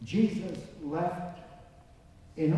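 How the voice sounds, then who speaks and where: Amid strong room echo, a man talks in an animated tone with ordinary pitch variation. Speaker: preacher. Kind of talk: sermon. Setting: church with congregation. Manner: animated, fervent preaching with repetition and call-and-response; rising, rhythmic, emphatic. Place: church. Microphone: camera far.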